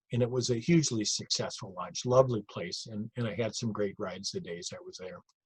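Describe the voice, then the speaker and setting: A man with an American accent, medium pitch and a somewhat breathy voice at a moderate pace, in a dry, close sound with no echo. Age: 60s. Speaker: retired cycling event director. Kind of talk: narrated slide show lecture. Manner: conversational, with fillers and repetitions.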